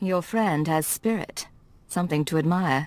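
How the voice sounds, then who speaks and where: At a moderate pace and middle pitch, someone uses a put-on character voice on a very clean recording with a silent background. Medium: video game. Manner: measured, calm.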